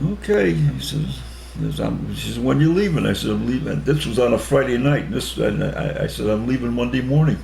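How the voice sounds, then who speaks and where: A man with an American accent speaks at a fairly quick pace, with audible room echo and noticeable background noise. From Connecticut, US. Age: 80s+. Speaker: war veteran. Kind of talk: interview. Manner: halting.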